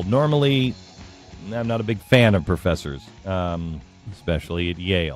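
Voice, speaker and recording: A man's very deep, low pitch with very wide pitch swings at a moderate pace, long, frequent pauses and music in the background. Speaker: radio host. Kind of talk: radio interview, conversational.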